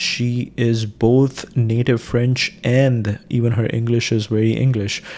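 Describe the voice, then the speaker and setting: A man with an Indian accent, medium in pitch, dark and mellow in tone, with monotone, flat intonation. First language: Hindi. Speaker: live streamer. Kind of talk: casual livestream monologue. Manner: halting, many fillers and restarts.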